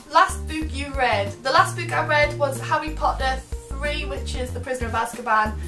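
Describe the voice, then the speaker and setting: With clear music in the background, a woman talks at a moderate pace in a Geordie accent. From Northeast England. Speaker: vlogger. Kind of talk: casual talk to camera. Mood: light, playful, slightly giggly. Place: home room.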